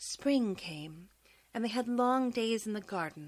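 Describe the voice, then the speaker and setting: An ordinary speaking voice from a woman, moderate in pace, with ordinary pitch variation. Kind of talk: audiobook bedtime story reading.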